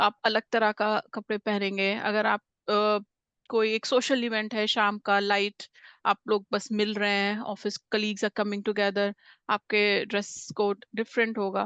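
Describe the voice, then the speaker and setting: In a quiet setting, a woman speaks at a moderate pace in a medium pitch, her intonation monotone and flat and the sound dry and close with no echo. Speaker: communication skills trainer. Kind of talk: interview-style workshop talk. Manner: frequent hesitations, Hindi-English mixing.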